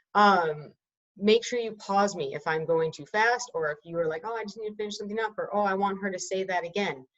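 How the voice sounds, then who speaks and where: With a normal speaking voice, a woman talks at a medium pitch and a fairly quick pace, her pitch varying in an ordinary way. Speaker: teacher. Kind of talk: lecture.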